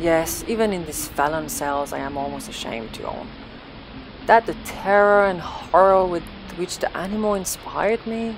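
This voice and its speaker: Over noticeable background noise, a woman with a medium-pitched voice speaks at a moderate pace. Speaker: audiobook narrator. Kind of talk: horror story narration, literary reading.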